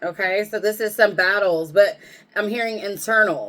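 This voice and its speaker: A woman with a plain, everyday voice, at a fairly slow pace with fairly even intonation. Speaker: tarot reader. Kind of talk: tarot reading. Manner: casual, conversational.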